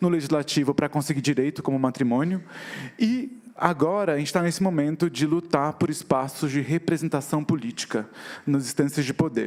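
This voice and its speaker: The speaker keeps a fairly quick pace and very even loudness, with ordinary pitch variation. Noticeable background noise is present. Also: man. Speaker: activist and visual artist. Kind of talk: talk on stage. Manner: fast.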